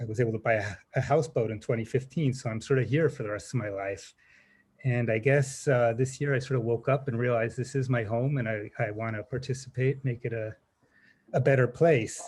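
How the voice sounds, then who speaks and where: Somewhat breathy and with an American accent, a man speaks at a medium pitch and a fairly quick pace with fairly even intonation. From California. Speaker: applicant for a public commission seat. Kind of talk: self-introduction at a public meeting. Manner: halting, many fillers.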